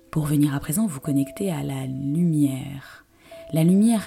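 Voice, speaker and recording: With music in the background, a woman speaks at a very slow pace in a very deep, low pitch. Her tone is calm and soothing, with ordinary pitch variation. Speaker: yoga teacher. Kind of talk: guided meditation. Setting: home recording with background music and instruments. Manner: slow, calm, soothing; soft-spoken, with long pauses.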